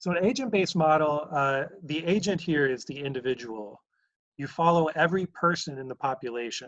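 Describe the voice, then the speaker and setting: Over a quiet background, a man with a plain, everyday voice speaks at a fairly quick pace in a fairly high pitch, with ordinary pitch variation. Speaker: math professor. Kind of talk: lecture. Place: home room. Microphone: webcam.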